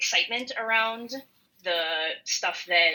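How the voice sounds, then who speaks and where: A woman speaks in an American accent at a fairly high pitch. Her intonation is lively and her tone bright and sharp. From rural western Minnesota. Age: 20s. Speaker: podcast co-host. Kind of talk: casual chat. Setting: online call.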